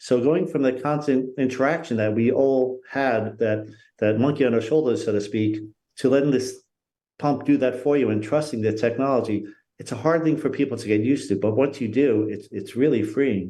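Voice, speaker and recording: At a moderate pace, the speaker's dark, mellow tone shows ordinary pitch variation. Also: man, medium pitch for a man. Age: 60s. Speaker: patient ambassador. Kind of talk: livestream interview.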